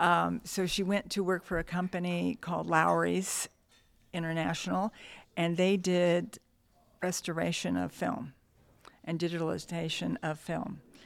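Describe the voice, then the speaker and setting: With an American accent, a woman speaks at a fairly slow pace, leaving long, frequent pauses. The recording is very clean, with a silent background. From Southern California, Downey. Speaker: nurse and Rotary club president. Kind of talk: casual interview chat.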